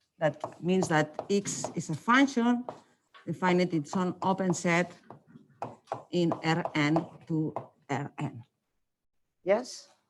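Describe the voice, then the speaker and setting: Speaking very slowly with a non-native accent, a woman uses a fairly low pitch and lively intonation. Her pauses are long and frequent. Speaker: mathematics lecturer. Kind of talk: lecture. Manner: hesitant with many fillers.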